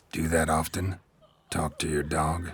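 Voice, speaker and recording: In a put-on character voice, a man speaks with a very deep, low pitch, raspy and monotone with flat intonation, at a moderate pace. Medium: video game. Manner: terse, dry, blunt.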